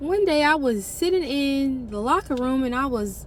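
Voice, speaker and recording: A woman's high-pitched, animated voice at a fairly slow pace, with ordinary pitch variation and audible room echo. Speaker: vlogger. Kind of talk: personal vlog storytelling.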